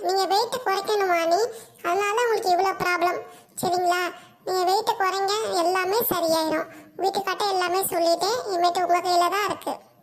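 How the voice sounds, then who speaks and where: A cartoonish character voice squeaks out at an extremely high pitch. Its pace is moderate. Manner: calm, soothing, polite.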